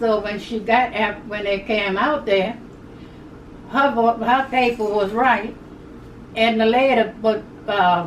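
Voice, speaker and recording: The speech comes very slowly with long, frequent pauses and fairly even intonation, over noticeable background noise and audible room echo. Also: woman, fairly high pitch for a woman. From Louisiana, Plaquemines Parish. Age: 80s+. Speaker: elderly interviewee recounting civil rights era. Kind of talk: oral history interview. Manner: halting, repetitive.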